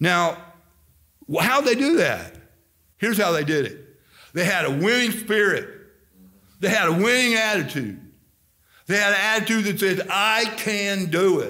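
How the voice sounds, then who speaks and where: Against a quiet background, a high-pitched man projects a raised voice with a bright, sharp tone, moving at a moderate pace with ordinary pitch variation and long, frequent pauses. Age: 60s. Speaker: Baptist pastor. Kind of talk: fiery Baptist sermon with scripture reading and folksy asides. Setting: church service. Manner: rambling, energetic preaching full of fillers and repeats; jokey, teasing with the congregation. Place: church. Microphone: camera far.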